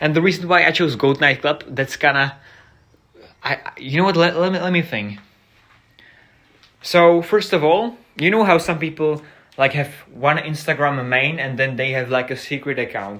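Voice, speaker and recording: With long, frequent pauses, a man speaks in a fairly high, bright, sharp voice with ordinary pitch variation. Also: moderate pace. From Czech Republic. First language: Czech. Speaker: streamer. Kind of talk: casual live stream chat. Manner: halting, unscripted.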